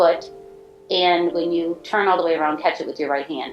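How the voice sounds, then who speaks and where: A woman's voice over music in the background. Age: 60s. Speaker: stroke survivor. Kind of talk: personal testimony.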